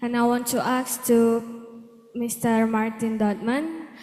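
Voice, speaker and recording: Audible room echo surrounds a woman speaking at a fairly high pitch with an Indonesian accent. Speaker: student audience member. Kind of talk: question at seminar.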